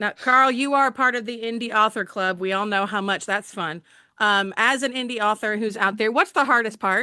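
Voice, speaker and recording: A woman's bright, sharp voice in a Southern US accent, fairly high in pitch with ordinary pitch variation, at a moderate pace against a quiet background. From Alabama, US South. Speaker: book channel host and author. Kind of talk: interview.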